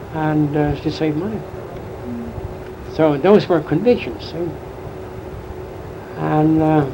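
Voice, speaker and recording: A man with a fairly high pitch speaks at a very slow pace, with long, frequent pauses and ordinary pitch variation. Noticeable background noise runs behind him. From Germany. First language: German. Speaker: immigrant. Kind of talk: interview answer.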